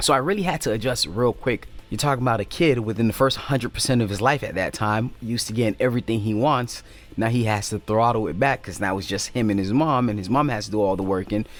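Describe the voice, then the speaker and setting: Talking at a very fast pace, a man with a Haitian accent shows ordinary pitch variation. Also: medium pitch for a man. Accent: Haitian Creole. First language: Haitian Creole. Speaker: YouTuber. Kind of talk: personal storytelling. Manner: casual, halting.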